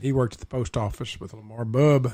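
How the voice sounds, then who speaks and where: A man with a medium pitch and a somewhat breathy voice speaks with fairly even intonation. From East Tennessee. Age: 60s. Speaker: local historian and tour guide. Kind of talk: casual storytelling interview. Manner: halting with many fillers.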